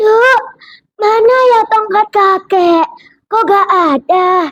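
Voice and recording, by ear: A put-on character voice at an extremely high pitch. It sounds shaky and goes at a very slow pace.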